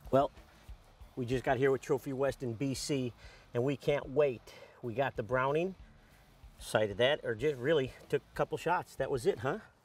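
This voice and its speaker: Faint music plays behind a man whose sound is dry, with no echo. He leaves long, frequent pauses, and his pitch moves in an ordinary way. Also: moderate pace. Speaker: hunter on a guided trip. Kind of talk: casual vlog chat.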